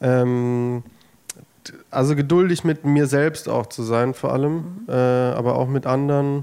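Medium in pitch, a man speaks with a dark, mellow tone and fairly even intonation. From Germany, village near Heilbronn (Baden-Württemberg). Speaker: singer-songwriter. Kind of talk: interview.

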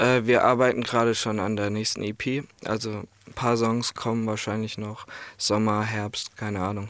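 The speaker talks at a moderate pace. The intonation is monotone and flat. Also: man, fairly low pitch for a man. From Ireland. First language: English (speaking German). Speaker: music producer and songwriter. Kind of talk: radio interview.

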